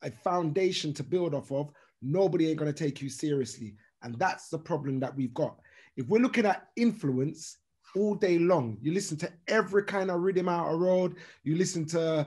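A man speaks with lively intonation and a moderate pace, the background quiet. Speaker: radio DJ. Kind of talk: interview answer. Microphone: video call.

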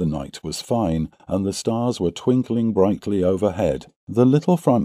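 The plain reading aloud carries lively intonation.

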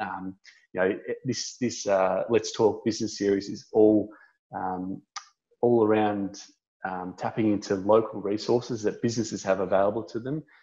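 Against a quiet background, a man with an Australian accent speaks at a moderate pace in a dark, mellow tone with fairly even intonation. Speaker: local council business officer, webinar host. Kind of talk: webinar introduction and wrap-up; webinar host closing remarks. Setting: online webinar. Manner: friendly, informal. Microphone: video call.

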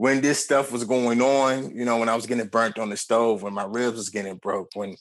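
A man keeps a moderate pace and fairly even intonation, with a quiet background behind him. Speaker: interview guest. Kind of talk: interview answer. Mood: serious, recounting childhood abuse. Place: home room. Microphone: earbuds.

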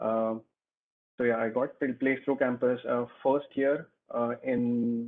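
A man with an Indian accent talks at a fairly slow pace in a monotone, flat intonation. The background is quiet. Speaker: engineer. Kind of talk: Q&A talk. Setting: video call. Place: home room. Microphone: video call.

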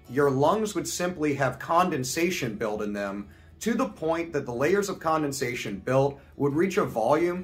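A fairly slow pace with faint music in the background. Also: man. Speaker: video host. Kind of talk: educational vlog commentary. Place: home room.

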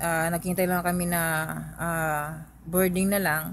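A woman speaks at a moderate pace in a fairly low pitch with monotone, flat intonation, her voice sounding dry with no echo over light background noise. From Philippines. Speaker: vlogger. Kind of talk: vlog storytelling. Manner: halting, many fillers. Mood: calm, reflective storytelling. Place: home room. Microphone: phone near.

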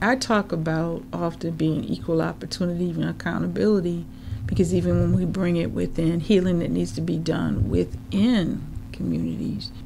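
A woman's moderately paced speech comes through audible room echo and noticeable background noise. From St. Paul, Minnesota (Rondo/Selby Dale). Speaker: media producer and entrepreneur. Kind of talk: interview. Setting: studio.

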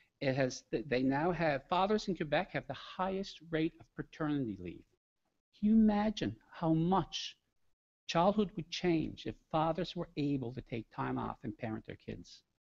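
With a Newfoundland accent, a man speaks at a fairly high pitch and a moderate pace. His intonation is lively, and the background is quiet. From Newfoundland, Canada. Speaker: education researcher presenting a discussion paper; presenter. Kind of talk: conference presentation. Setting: conference room with live audience. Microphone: podium.

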